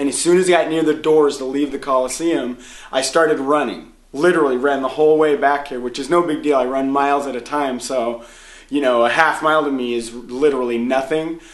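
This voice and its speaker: Audible room echo surrounds a man who talks at a fairly quick pace, fairly high in pitch, with fairly even intonation. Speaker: vlogger at a self-help seminar. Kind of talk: casual video diary. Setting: hotel room. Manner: usually loud.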